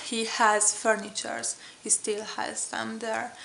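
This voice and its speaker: Speaking at a very slow pace, a woman has a fairly high pitch. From Hungary. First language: Hungarian. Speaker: vlogger. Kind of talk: casual vlog talk. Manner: hesitant, many fillers.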